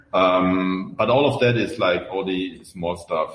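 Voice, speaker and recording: A man talks with a German accent. His pace is fairly slow. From Germany. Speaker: open source software founder. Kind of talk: podcast interview. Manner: hesitant with many fillers.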